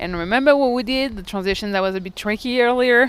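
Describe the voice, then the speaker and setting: A woman is speaking. She has a non-native accent. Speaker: yoga instructor. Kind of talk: guided yoga class instruction. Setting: outdoors by a lake. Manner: calm, encouraging cueing with breath prompts.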